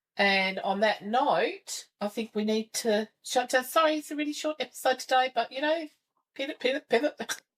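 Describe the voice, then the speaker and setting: With an Australian accent and a high pitch, a woman talks at a moderate pace with lively intonation, recorded in a dry, close sound with no echo. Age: 60s. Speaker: podcast host. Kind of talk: casual chat. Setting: video recording with camera.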